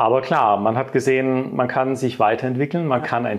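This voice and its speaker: In an unremarkable speaking voice, the words come at a fairly quick pace. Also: man. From southern Germany. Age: 40s. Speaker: company director and coaching client. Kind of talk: interview testimony.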